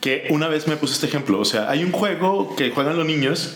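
A man with a Mexican accent talks at a fairly quick pace. Audible room echo and noticeable background noise surround him. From Mexico. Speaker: board game podcast co-host. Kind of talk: casual chat. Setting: video podcast.

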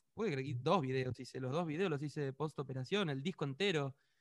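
Recorded with a dry, close sound and no echo, a man talks at a moderate pace with ordinary pitch variation. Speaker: pop musician. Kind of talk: interview.

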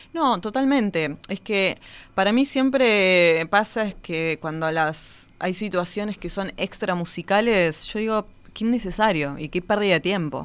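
A woman with a normal speaking voice talks at medium pitch with lively intonation. The recording is very clean and the background silent. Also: fairly slow pace. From Argentina, Patagonia (Río Gallegos). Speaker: orchestra conductor. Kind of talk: interview conversation.

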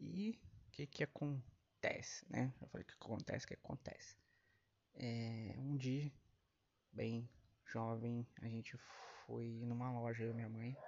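A man's medium-pitched voice, very slow, with fairly even intonation and long, frequent pauses. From Brazil. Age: 30s. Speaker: podcast host. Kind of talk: casual monologue.

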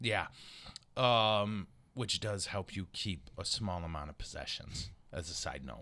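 A man with a fairly low pitch and vocal fry talks at a fairly slow pace in an animated tone. His tone is bright and sharp, and the recording is very clean with a silent background. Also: lively intonation. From Michigan. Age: 50s. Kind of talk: casual chat.

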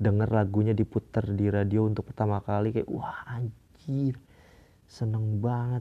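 A man speaks at a moderate pace in a fairly low, dark and mellow voice, his intonation monotone and flat, the sound dry and close with no echo. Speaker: podcast host. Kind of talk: casual monologue. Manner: halting, many fillers.

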